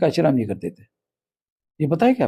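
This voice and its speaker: A man's dark, mellow tone at a moderate pace. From Maharashtra, India. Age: 60s. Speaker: national organisation leader. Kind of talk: interview. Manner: forceful, combative.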